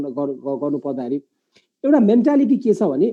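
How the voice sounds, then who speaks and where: Using a high voice, a man swings his pitch very widely while speaking at a fairly slow pace. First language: Nepali. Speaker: moderator of live business webinar. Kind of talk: live panel discussion.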